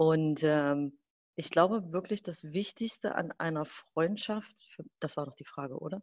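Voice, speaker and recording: A woman's very deep, low voice at a fairly slow pace, with big swings in loudness and ordinary pitch variation. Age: 30s. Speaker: fashion brand consultant. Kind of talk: casual conversation. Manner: halting, many fillers.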